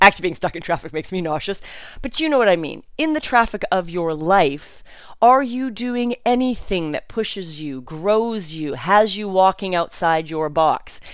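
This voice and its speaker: At a moderate pace, a woman speaks in an animated tone with very wide pitch swings. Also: medium pitch for a woman, very clean recording, silent background. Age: 50s. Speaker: podcast host. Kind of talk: solo podcast monologue, casual. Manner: animated, self-described spaz.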